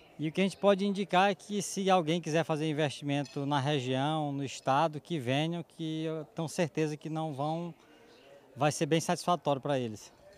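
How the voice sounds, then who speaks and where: In a plain, everyday voice, a man talks at a moderate pace with a fairly high pitch and ordinary pitch variation. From Maranhão, Brazil. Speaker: farmer. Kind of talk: interview.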